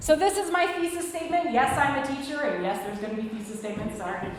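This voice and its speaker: Her delivery is very fast and animated, with a high pitch and ordinary pitch variation. The woman is heard through noticeable background noise and audible room echo. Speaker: lecturer, teacher. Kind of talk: lecture.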